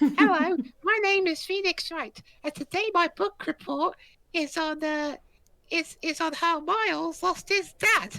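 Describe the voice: This is a put-on character voice at an extremely high pitch. The pace is fairly slow.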